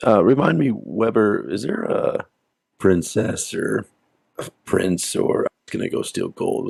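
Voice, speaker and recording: In a put-on character voice, the speaker sounds raspy and talks at a fairly slow pace. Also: man. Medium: actual play.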